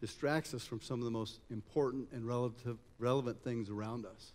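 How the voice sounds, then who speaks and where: This man has an American accent and a medium pitch. He talks at a fairly quick pace with fairly even intonation. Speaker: conference speaker on future of work. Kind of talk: public talk. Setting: stage with audience.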